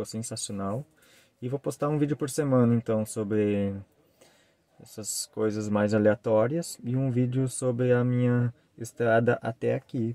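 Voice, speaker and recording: A man's dark, mellow voice at a moderate pace, fairly even in intonation, with a dry sound and no echo. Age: 30s. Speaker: travel vlogger. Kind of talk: vlog introduction to camera. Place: car. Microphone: phone near.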